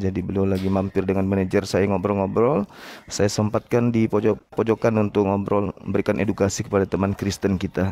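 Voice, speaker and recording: A man's fairly low, dark, mellow voice in a monotone, flat delivery, with a dry, close sound and no echo. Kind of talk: heated debate. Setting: public cafe, online live debate. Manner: soft-spoken.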